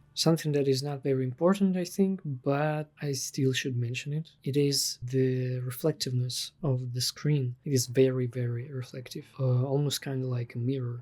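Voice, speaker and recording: With a non-native accent, the speaker talks at a moderate pace with hardly any pauses. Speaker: freelance digital artist. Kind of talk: casual product review to camera.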